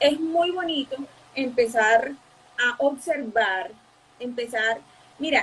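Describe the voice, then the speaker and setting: The speech is very slow, broken by long, frequent pauses, with ordinary pitch variation. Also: woman. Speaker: psychologist. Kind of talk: interview. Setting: live stream.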